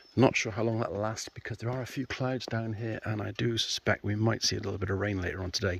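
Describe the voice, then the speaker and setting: Recorded with a quiet background and a dry, close sound with no echo, a man speaks in a fairly low, somewhat breathy voice with ordinary pitch variation. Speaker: motorcycle vlogger. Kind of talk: casual vlog. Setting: outdoors.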